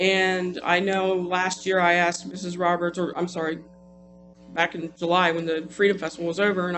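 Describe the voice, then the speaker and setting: With music in the background, a man talks at a fairly quick pace in a high pitch. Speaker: city council member. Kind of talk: council meeting debate. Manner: fast; hesitant, many restarts.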